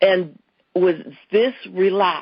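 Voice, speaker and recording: Speaking at a medium pitch, a woman shows ordinary pitch variation. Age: 60s. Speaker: customer giving a product testimonial. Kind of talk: testimony. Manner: halting, with fillers and restarts.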